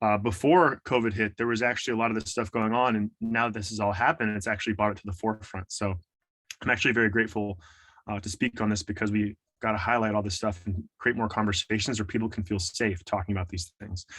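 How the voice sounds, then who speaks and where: This man talks very fast in a fairly low pitch, with an American accent. His intonation stays fairly even. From US West Coast, San Francisco Bay Area. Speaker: trauma and fitness coach. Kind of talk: motivational talk.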